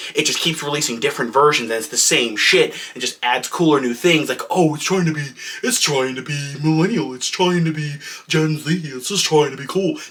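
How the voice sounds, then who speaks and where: Fairly quick and fairly high in pitch, a man speaks with ordinary pitch variation. Noticeable noise sits in the background. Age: 20s. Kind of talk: comedic rant. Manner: exasperated, profane.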